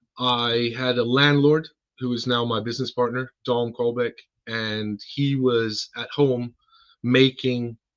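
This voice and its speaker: This man has an American accent and a medium pitch. He talks at a fairly slow pace with fairly even intonation. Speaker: car care company co-founder. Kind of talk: podcast interview.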